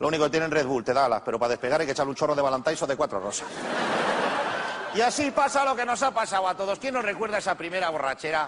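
Over noticeable background noise, an animated man talks at a very fast pace. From Spain. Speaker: stand-up comedian. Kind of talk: stand-up comedy monologue to a live audience. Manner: humorous, animated, comic delivery. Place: stage.

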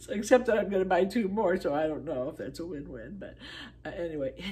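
Over light background noise, a woman speaks with a fairly low pitch, a dark, mellow tone and vocal fry. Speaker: product reviewer. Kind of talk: casual vlog chat. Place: home room. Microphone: phone near.

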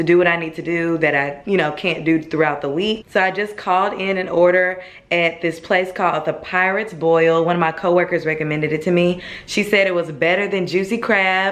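In an ordinary speaking voice, a woman speaks at a fairly quick pace with a fairly low pitch and fairly even intonation. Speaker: vlogger. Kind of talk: casual vlog chat. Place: kitchen. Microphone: phone near.

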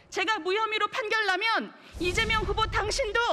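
A woman speaks in an extremely high, raised, projected voice at a moderate pace. Light background noise is present. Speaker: political commentator. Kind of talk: panel discussion. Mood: angry, accusatory. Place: hall. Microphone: podium.

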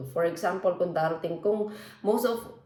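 A woman is speaking. The clip has noticeable background noise and audible room echo. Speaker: vlogger. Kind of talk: casual vlog talk.

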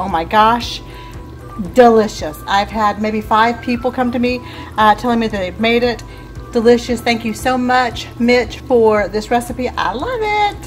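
A woman speaks at a moderate pace with fairly even intonation while faint music plays in the background. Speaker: home cooking vlogger. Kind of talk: casual vlog chat. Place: kitchen. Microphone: phone near.

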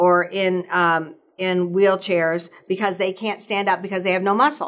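A woman speaks at a moderate pace. Her pitch sits in the middle range. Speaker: physician specializing in hormone therapy. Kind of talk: casual conversational podcast. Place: studio.

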